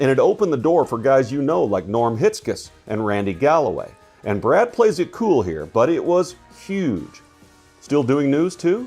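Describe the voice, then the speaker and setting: Music plays in the background. The speaker moves at a moderate pace with very wide pitch swings. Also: man, fairly high pitch for a man. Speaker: podcast host. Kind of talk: podcast narration.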